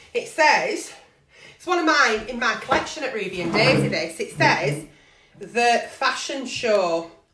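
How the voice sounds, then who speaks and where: A woman talks at a fairly slow pace in a high pitch, with very wide pitch swings. Her loudness swings a lot, and room echo is audible. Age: 40s. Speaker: online video host, agony aunt. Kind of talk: casual live-stream chat. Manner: chatty, rambling.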